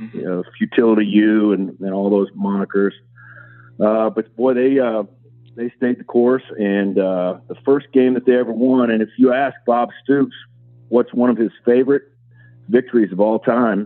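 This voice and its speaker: At a moderate pace, a man with a medium-pitched voice speaks with ordinary pitch variation. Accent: American. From Kansas. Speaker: college football administrator. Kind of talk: interview.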